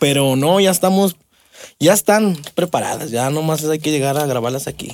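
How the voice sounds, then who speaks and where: A plain, everyday voice from a man, fairly high in pitch, with ordinary pitch variation and a moderate pace. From Mexico, Aguascalientes. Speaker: drummer. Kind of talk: casual interview.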